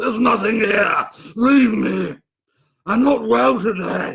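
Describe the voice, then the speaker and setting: A man's raspy, high-pitched, put-on character voice at a fairly slow pace. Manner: evasive, desperate.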